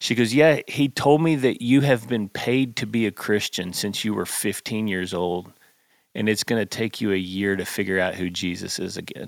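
Here a man with a Texan accent speaks at a fairly low pitch and moderate pace, with ordinary pitch variation. The sound is dry and close with no echo, on a very clean recording with a silent background. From Texas, north of Fort Worth. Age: 40s. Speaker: pastor and songwriter. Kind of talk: casual chat.

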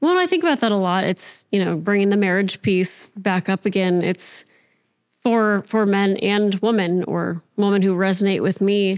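A woman with an ordinary speaking voice talks at a moderate pace and medium pitch, her intonation fairly even. The recording is very clean with a silent background, dry and close with no echo, and very even loudness. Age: 30s. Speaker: podcast guest, show co-creator. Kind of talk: casual chat.

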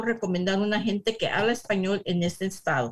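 A woman's voice is somewhat breathy. Her pitch variation is ordinary. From US, San Diego, California. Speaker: real estate agent. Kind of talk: interview.

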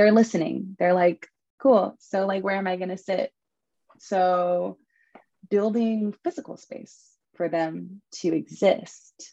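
A woman's medium-pitched voice in an American accent, dark and mellow in tone, with fairly even intonation, a very slow pace, long and frequent pauses, and a dry, close sound with no echo. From Southern California. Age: 20s. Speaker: spiritual practitioner. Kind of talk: casual chat.

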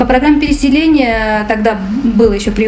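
Noticeable background noise mixed with audible room echo. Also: woman. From Afghanistan, raised in Moscow from age 3-4. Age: 40s. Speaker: refugee. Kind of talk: interview testimony.

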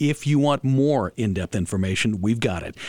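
A man's ordinary speaking voice at medium pitch, with ordinary pitch variation and a moderate pace. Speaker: radio host. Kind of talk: radio talk show. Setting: studio.

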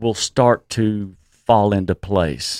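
A man speaks with a Texan accent at a fairly low pitch. The sound is dry and close, with no echo. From Texas. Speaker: cannabis business executive. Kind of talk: interview. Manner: halting.

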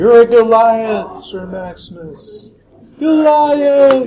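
Using a put-on character voice, a man speaks at an extremely high pitch. His pace is very slow.

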